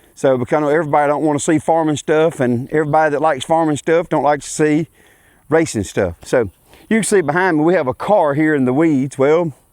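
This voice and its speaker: A man with a Louisiana accent, fairly high-pitched and very fast, his loudness very even, pitch moving in an ordinary way, the sound dry and close with no echo. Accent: US Southern (Louisiana). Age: 40s. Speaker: racing vlogger and farmer. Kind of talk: casual vlog introduction. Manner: halting, with many fillers.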